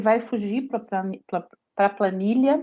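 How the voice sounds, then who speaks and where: The voice shows ordinary pitch variation. It is an unremarkable speaking voice. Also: woman. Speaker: lecturer. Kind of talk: lecture.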